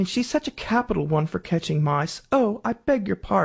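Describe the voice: This is plain reading aloud. The delivery stays plain throughout.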